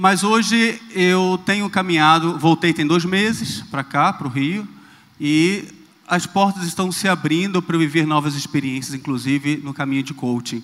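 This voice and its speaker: A man talks at a moderate pace with a high pitch. His pitch variation is ordinary. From Rio de Janeiro, Brazil. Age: 30s. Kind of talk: talk on stage.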